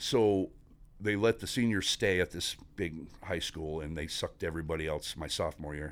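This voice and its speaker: On a very clean recording with a silent background, a man with an American accent talks at a moderate pace in a very deep, low pitch with ordinary pitch variation. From Northeast Pennsylvania, Scranton area. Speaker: navy veteran and company employee. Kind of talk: casual interview.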